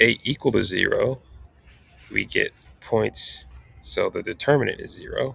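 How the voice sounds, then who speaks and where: There is noticeable background noise behind this man. He speaks at a fairly slow pace. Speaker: math instructor. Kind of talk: tutorial.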